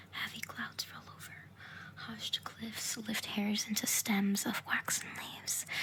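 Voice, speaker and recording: A whispered voice moves at a fairly slow pace while noticeable noise sounds in the background. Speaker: ASMR creator. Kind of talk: poetry reading. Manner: whispered, soft-spoken.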